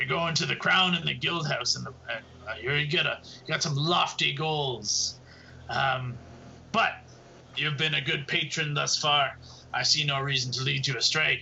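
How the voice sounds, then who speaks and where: A man puts on a raspy character voice, pitched fairly high. He talks fairly slowly with long, frequent pauses over clear background noise. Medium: actual play. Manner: wry, coin-minded.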